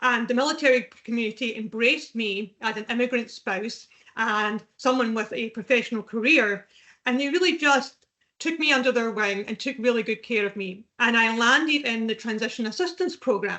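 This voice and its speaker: A woman's fairly high voice in a Scottish accent, at a moderate pace with ordinary pitch variation. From Scotland. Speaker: veterans recruitment specialist. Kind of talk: podcast interview.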